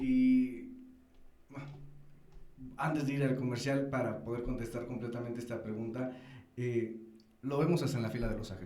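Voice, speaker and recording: Amid noticeable background noise and audible room echo, a man at medium pitch speaks at a moderate pace with fairly even intonation and long, frequent pauses. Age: young. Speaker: radio host. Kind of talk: interview conversation.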